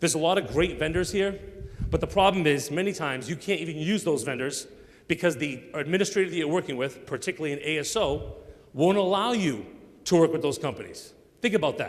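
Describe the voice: Intonation is lively. There are few pauses. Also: man, fairly high pitch for a man, fairly quick pace.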